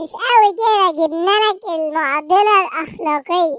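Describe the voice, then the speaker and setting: A female-sounding, put-on character voice speaks at a fairly slow pace with an extremely high pitch. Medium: fan dub. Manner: provocative.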